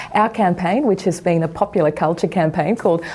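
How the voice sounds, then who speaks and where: A woman with an Australian accent speaks at a fairly low pitch with ordinary pitch variation. Noticeable background noise is present. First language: not English. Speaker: republican campaign leader. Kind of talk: TV news interview.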